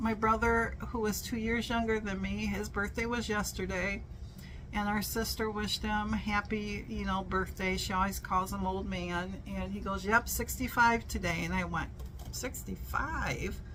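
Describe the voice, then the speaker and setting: A woman at a moderate pace amid audible room echo. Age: 60s. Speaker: vlogger. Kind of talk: casual chat. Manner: animated.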